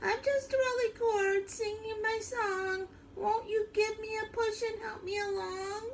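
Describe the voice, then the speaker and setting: Putting on a squeaky character voice at an extremely high pitch, a woman speaks fairly slowly in a monotone, flat delivery over clear background noise. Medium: read story.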